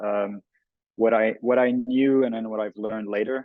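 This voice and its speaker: A man speaks in a Quebec French accent. His intonation stays monotone and flat. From Montreal, Quebec. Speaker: artist and photographer. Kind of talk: panel discussion.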